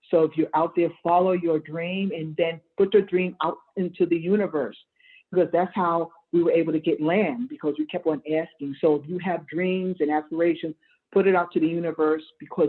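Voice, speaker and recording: A woman's fairly low-pitched, unremarkable speaking voice at a moderate pace with fairly even intonation. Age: 60s. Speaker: urban farmer and food justice activist. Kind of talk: panel discussion.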